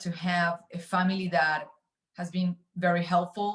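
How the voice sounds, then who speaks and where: Speaking in a Spanish accent, a woman with a somewhat breathy, medium-pitched voice keeps a moderate pace. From Argentina, Buenos Aires. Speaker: finance executive. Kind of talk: interview. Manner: hesitant, many fillers.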